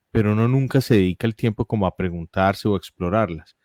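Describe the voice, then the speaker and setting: With an Antioquian accent, a man speaks at a fairly quick pace and a fairly low pitch, with fairly even intonation. The recording is very clean, with a silent background and a dry, close sound with no echo. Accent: paisa (Antioquia). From Colombia, Medellín (paisa). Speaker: philosopher, lawyer with a doctorate. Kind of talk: interview.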